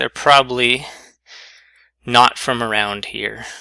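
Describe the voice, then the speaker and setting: Speaking at a fairly slow pace, a man with a medium pitch has a bright, sharp tone and vocal fry. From US, Eastern Pennsylvania. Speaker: statistics teacher. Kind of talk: lecture. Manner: casual, hesitant with many fillers.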